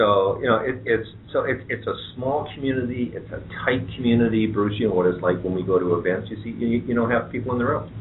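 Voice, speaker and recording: Audible room echo hangs around this man's voice. He rushes along at a very fast pace, his pitch varying in an ordinary way. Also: medium pitch for a man. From southwestern Ontario, Canada (London, Ontario). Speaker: head of an economic development agency. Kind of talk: radio talk show interview.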